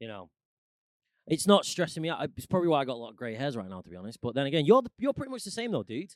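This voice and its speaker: Speaking at a very fast pace in a Mancunian accent, a man with a fairly high pitch makes very wide pitch swings and big swings in loudness in dry, close sound with no echo. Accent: mild Mancunian, northern English. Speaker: musician and actor. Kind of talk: casual chat.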